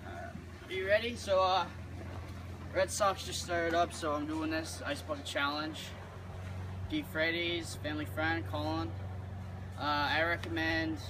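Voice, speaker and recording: Noticeable background noise behind a man of fairly low pitch at a fairly slow pace, with long, frequent pauses. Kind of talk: casual vlog chat. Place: garden. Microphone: camera far.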